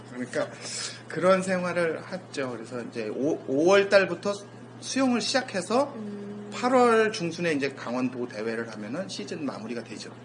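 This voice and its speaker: Noticeable background noise behind a man at a moderate pace, with very wide pitch swings and big swings in loudness. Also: fairly high pitch for a man. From South Korea, rural area. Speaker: sports scientist and lecturer. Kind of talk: casual interview.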